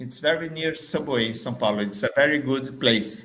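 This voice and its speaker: A man's bright, sharp tone rings out with audible room echo. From Brazil, Salvador, Bahia. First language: Portuguese. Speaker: marketing trainer. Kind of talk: business pitch video. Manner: halting, many fillers.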